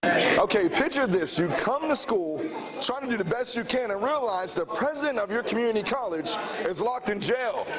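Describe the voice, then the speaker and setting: A man speaks at an extremely high pitch and a moderate pace, his loudness very even. Noticeable background noise sits behind him. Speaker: TV news reporter. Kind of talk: TV news package voiceover.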